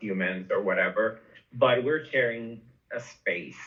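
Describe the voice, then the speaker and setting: A man with a Spanish accent. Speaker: podcast host / interviewer. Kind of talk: casual interview chat. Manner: halting, many fillers and repetitions.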